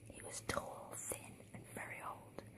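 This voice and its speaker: A whisper comes through against noticeable background noise. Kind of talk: read story. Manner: whispered; soft-spoken, relaxing.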